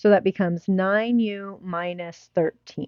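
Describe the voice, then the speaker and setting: This woman has a normal speaking voice at medium pitch. Her pitch variation is ordinary. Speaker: math teacher. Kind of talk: lecture.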